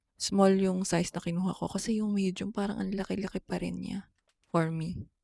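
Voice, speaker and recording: Soft-spoken and monotone, the voice keeps a flat intonation at a moderate pace. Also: woman. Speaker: travel vlogger. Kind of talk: casual travel vlog.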